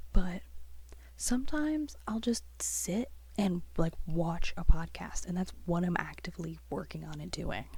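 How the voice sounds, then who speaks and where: Soft-spoken speech from a woman, at a moderate pace. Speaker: artist, graphic designer. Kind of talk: soft-spoken ASMR chat while drawing.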